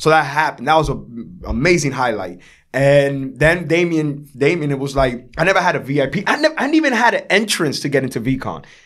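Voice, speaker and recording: With a New York accent, a man speaks fairly quickly and with hardly any pauses in a fairly high, animated voice that has lively intonation and vocal fry. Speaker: artist. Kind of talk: interview storytelling. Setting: podcast. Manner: loud.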